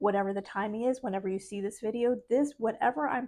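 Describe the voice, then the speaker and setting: Against a quiet background, a soft-spoken woman talks at a very fast pace. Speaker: spiritual life coach vlogger. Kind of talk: motivational vlog talk.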